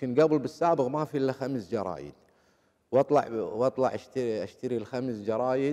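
With a Kuwaiti accent, the voice has a dark, mellow tone and ordinary pitch variation. It moves at a moderate pace against a quiet background. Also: man. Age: 50s. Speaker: former footballer; interview guest. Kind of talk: interview. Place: studio. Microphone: lapel.

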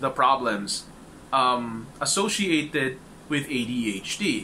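There is light background noise. A man speaks with very wide pitch swings. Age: 30s. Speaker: support group facilitator. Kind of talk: informal talk to a support group. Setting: group meeting with audience. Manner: hesitant, many fillers. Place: home room. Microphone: webcam.

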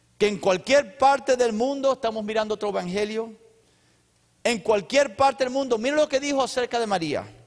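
Over a quiet background, a man talks at a moderate pace with an extremely high pitch. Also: ordinary pitch variation. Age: 50s. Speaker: pastor; preacher. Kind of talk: sermon; church announcements. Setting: church. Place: church. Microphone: handheld.

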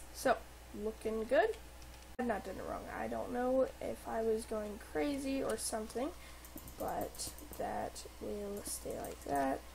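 A woman speaks at a very slow pace, with long, frequent pauses. Noticeable background noise runs underneath. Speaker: gaming YouTuber. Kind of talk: tutorial. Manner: hesitant, many fillers.

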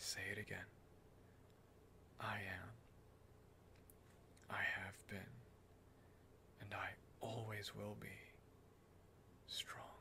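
A man whispers very slowly, with long pauses coming often. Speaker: ASMR performer. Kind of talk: ASMR reiki role-play, guiding the listener through affirmations. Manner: soft, gentle, slow-paced. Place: home room. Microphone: studio mic.

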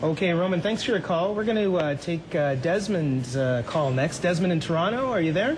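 A man's high voice at a fairly quick pace, with lively intonation, very even loudness and noticeable background noise. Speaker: TV health show host and physician. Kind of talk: TV interview with call-in questions. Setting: TV studio.

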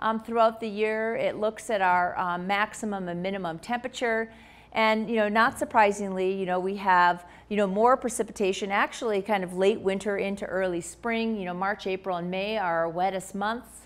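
A moderate pace paired with fairly even intonation. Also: woman. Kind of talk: lecture. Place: hall.

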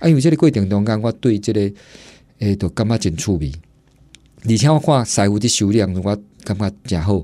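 Talking very fast yet with long, frequent pauses, a man uses lively intonation in a fairly low voice with a dark, mellow tone. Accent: Taiwanese. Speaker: historic building restorer. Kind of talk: radio interview. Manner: halting, many fillers.

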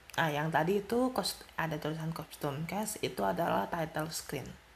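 Soft-spoken, the voice moves at a slow pace. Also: woman.

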